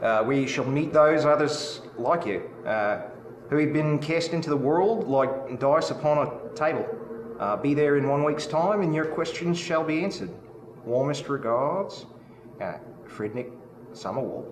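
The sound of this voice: A fairly high-pitched man with lively intonation, a fairly slow pace, and audible room echo.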